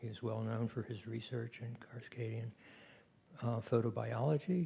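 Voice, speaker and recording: Dark and mellow in tone, a man's voice carries vocal fry and fairly even intonation. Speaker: session moderator. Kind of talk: speaker introductions at a conference.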